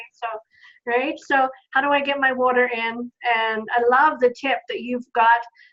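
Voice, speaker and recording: At a moderate pace, a woman speaks in a high pitch with a slight Australian accent. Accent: Australian, faint, shows on some words. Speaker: online business community host, business coach. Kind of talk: casual online video chat. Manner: enthusiastic, upbeat.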